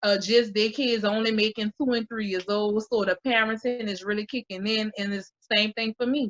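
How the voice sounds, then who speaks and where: With a New Orleans accent, a woman speaks at a moderate pace in a fairly high pitch. Her intonation is monotone and flat, and the sound is dry and close with no echo. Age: 20s. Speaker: mother and YouTuber. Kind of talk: casual chat.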